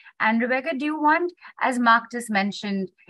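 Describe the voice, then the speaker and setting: A woman's bright, sharp tone comes through in a dry sound with no echo. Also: quiet background. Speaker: summit moderator. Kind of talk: moderated discussion. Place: home room. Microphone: video call.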